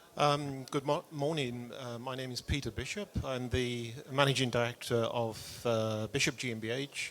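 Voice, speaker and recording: A man with a British accent, medium pitch, fairly even intonation and a moderate pace. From UK. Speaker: audience member asking question, business owner. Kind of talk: audience question. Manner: halting, hesitant.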